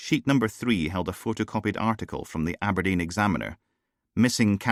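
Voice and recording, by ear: Ordinary pitch variation marks this reading aloud in a natural voice, set against a quiet background.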